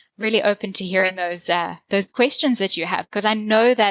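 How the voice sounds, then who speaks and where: A woman with a South African accent, medium pitch, fairly even intonation and a fairly quick pace, in a dry, close sound with no echo. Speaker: marketing consultant. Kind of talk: podcast interview.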